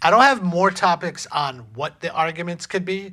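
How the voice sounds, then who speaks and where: His tone bright and sharp, a man speaks at a fairly slow pace with a fairly high pitch. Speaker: relationship podcast co-host. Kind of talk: casual chat. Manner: halting, stumbling over words.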